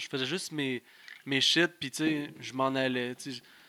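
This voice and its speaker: A man speaks in a Quebec accent at a fairly slow pace. His tone is bright and sharp. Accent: Québécois French. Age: 20s. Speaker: pro wrestler. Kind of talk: casual chat. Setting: studio.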